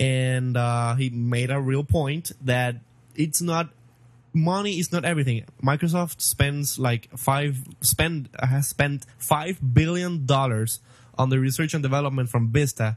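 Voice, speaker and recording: A man's somewhat breathy voice at medium pitch, with ordinary pitch variation and a fairly slow pace. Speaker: tech podcast co-host. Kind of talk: casual chat.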